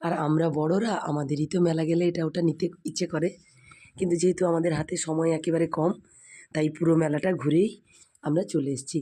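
Her voice is fairly low for a woman, with a dark, mellow tone. Her intonation stays fairly even. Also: very even loudness, very clean recording, silent background. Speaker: food and family vlogger. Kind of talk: vlog voiceover narration.

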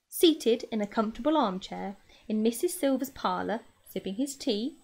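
An unforced reading voice comes through with lively intonation.

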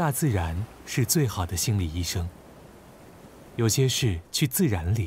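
This voice is somewhat breathy, moving at a fairly slow pace with long, frequent pauses and very wide pitch swings. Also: man. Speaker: narrator announcer. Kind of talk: scripted narration.

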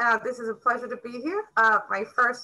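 Against a quiet background, a woman with an American accent speaks at a moderate pace in a high pitch with a bright, sharp tone. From Queens, New York. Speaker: author. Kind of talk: interview answer. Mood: cheerful, slightly nervous. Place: home room. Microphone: video call.

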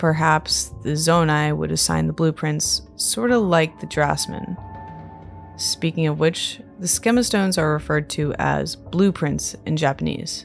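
Music plays in the background as a woman speaks at a fairly slow pace. Her tone is calm and soothing. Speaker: Zelda lore YouTuber. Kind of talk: sleep-aid lore narration. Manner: calm, soothing.

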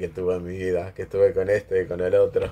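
Someone with an Argentine accent speaks at a moderate pace. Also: man. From Argentina. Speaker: commentator; vlogger. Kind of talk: casual monologue. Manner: hesitant, many fillers. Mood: chatty, gossipy. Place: home room. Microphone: phone near.

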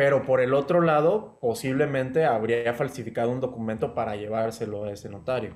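A man with a medium pitch talks at a fairly quick pace with hardly any pauses. The background is quiet. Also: ordinary pitch variation. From Mexico. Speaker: law student; interviewee. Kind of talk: interview. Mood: calm, serious. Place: home room. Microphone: video call.

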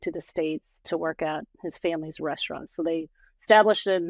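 Recorded with a dry sound with no echo and a quiet background, a woman speaks at a fairly low pitch with an American accent. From Portland, Oregon, USA. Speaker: podcast guest, administrative professional. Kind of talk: podcast interview answer. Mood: calm, reflective. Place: home room. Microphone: video call.

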